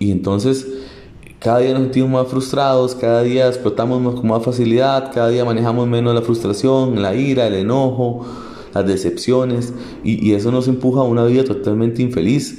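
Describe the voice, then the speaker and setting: A man with a Costa Rican accent speaks at a moderate pace in a medium pitch, his intonation monotone and flat. Audible room echo and noticeable background noise surround his voice. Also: very even loudness. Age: 30s. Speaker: podcaster. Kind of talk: personal monologue. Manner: halting.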